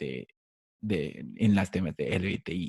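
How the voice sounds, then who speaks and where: This man has a non-native accent and a fairly low pitch. He speaks at a very slow pace in a dark, mellow tone. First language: English (speaking Spanish). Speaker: podcast host. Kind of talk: interview. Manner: halting.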